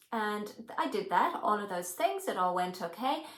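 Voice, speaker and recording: This woman's voice carries audible room echo along with noticeable background noise. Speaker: hypnotherapy trainer. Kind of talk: personal storytelling to camera.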